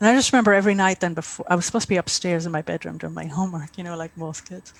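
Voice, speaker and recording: Very fast speech from a woman with an Irish accent, fairly low in pitch, with ordinary pitch variation and big swings in loudness. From Ireland, rural County Mayo. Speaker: author. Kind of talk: interview.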